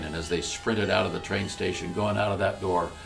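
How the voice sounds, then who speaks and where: Over music in the background, a man speaks at a fairly low pitch with fairly even intonation. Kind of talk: storytelling address.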